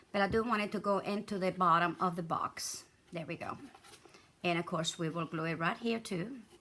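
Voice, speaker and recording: A woman speaks at a fairly quick pace with a medium pitch and fairly even intonation. Her tone is bright and sharp. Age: 70s. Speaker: craft video maker. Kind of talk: tutorial. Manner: casual, chatty.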